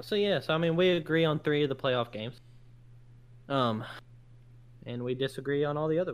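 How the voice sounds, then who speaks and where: With long, frequent pauses, a man speaks at a fairly high pitch with ordinary pitch variation. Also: fairly quick pace. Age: 20s. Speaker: sports podcast co-host. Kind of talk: casual chat. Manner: animated.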